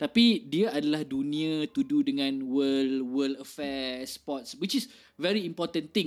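A man with an ordinary speaking voice and fairly high pitch uses lively intonation on a very clean recording with a silent background. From Malaysia, born Kelantan, raised partly in Kuching, Sarawak. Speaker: music festival organiser and indie scene figure. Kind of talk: casual interview chat. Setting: live stream.

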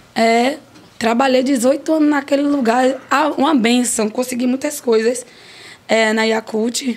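Over noticeable background noise, a woman speaks at a high pitch and fairly slow pace, her intonation fairly even and her loudness very even. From Brazil, Piauí (Piripiri). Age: 40s. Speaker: restaurant owner. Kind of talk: interview. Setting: studio.

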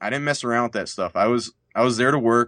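In a plain, everyday voice, a man speaks at medium pitch with fairly even intonation, the sound dry and close with no echo over a quiet background. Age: 30s. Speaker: lawyer. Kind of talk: interview.

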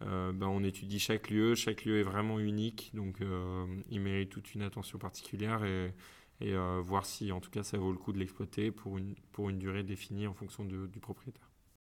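In a very clean recording with a silent background, a man with a fairly low pitch talks at a moderate pace in a flat monotone. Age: 20s. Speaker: food market co-founder. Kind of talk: interview. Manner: hesitant, many fillers.

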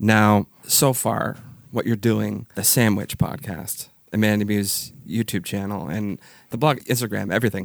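With vocal fry and a fairly low pitch, a man speaks at a fairly slow pace with ordinary pitch variation. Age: 30s. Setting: video call.

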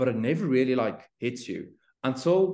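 Against a quiet background, a man's dark, mellow tone rises and falls with lively intonation. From South Africa. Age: 20s. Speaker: fitness influencer and entrepreneur. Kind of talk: interview conversation. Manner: halting.

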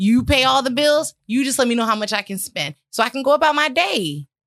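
A woman projects a raised voice at a high pitch. Her tone is bright and sharp, and her intonation lively. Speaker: podcast host. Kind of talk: casual chat.

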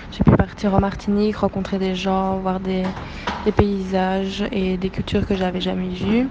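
Over noticeable background noise, a woman talks fairly slowly at medium pitch in a flat monotone. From Belgium. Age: 20s. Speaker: former intern, NGO communications worker. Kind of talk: testimony. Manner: hesitant, many fillers.

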